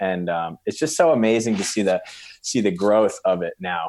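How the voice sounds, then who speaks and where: A man speaks in an ordinary speaking voice with a fairly low pitch. His pace is fairly quick, and the background is quiet. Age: 30s. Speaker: CrossFit coach and gym owner. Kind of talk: casual interview chat.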